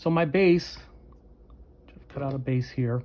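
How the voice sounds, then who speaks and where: Somewhat breathy, a man talks at a medium pitch. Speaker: crafting tutorial creator. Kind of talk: tutorial. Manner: halting.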